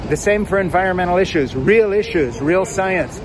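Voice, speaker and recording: An animated man at a fairly quick pace, over noticeable background noise. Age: 70s. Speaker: political commentator. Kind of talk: opinion monologue.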